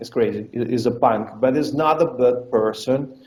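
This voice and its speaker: A man at a medium pitch, ordinary pitch variation, fairly slow pace. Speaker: fight promotion owner. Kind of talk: interview. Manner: halting, many repetitions and fillers; animated.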